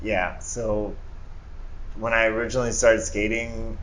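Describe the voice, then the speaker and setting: Audible room echo surrounds a man as he speaks. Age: 30s. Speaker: screen printer and entrepreneur. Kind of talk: casual interview chat.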